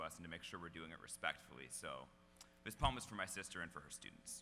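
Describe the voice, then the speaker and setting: A man talks very fast. Background music plays behind him. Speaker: slam poet. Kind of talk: casual introduction to an audience.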